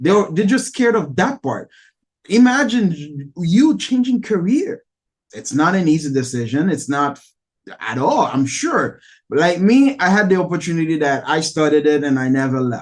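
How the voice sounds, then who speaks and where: Pitch swings very widely in this Haitian accent, delivered at a moderate pace. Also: man, high pitch for a man. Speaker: podcast host, real estate agent. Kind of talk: interview podcast.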